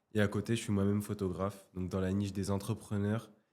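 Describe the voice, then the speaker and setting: This man speaks at a moderate pace with a fairly low pitch. His intonation is monotone and flat. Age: 20s. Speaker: photographer and coach. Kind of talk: casual interview.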